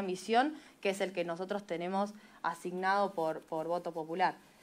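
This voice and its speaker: This woman's tone is bright and sharp. She talks at a fairly quick pace with ordinary pitch variation. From Argentina. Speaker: legislator, special commission chair. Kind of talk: committee hearing speech. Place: meeting room. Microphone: podium.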